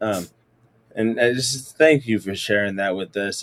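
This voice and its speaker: A man with an ordinary speaking voice speaks at a moderate pace and a medium pitch. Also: dry, close sound with no echo. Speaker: podcast host, educator. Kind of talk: interview conversation.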